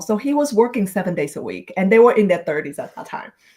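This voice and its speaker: A woman speaks with a Vietnamese accent. Her voice is somewhat breathy, with lively intonation. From Vietnam, moved to Minnesota at twelve. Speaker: author and speaker. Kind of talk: podcast interview, personal story. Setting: live video stream.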